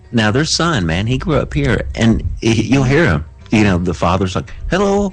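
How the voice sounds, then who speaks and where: Over music in the background and with audible room echo, a man with a Southern US accent speaks in very wide pitch swings. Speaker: radio show co-host. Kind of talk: casual chat. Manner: halting, stammering.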